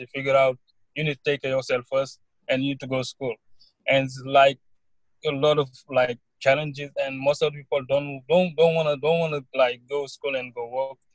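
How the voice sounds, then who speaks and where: At a fairly quick pace, a man speaks in a somewhat breathy voice at a fairly high pitch, recorded with a dry, close sound and no echo. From Senegal. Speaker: college student. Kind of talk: interview. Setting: online call.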